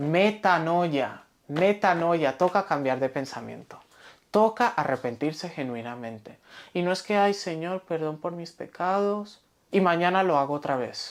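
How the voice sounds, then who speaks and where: A woman with an unremarkable speaking voice talks at a fairly slow pace and a fairly low pitch. Her intonation is lively, on a very clean recording with a silent background. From Spain, Valencia. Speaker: pastor. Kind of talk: sermon.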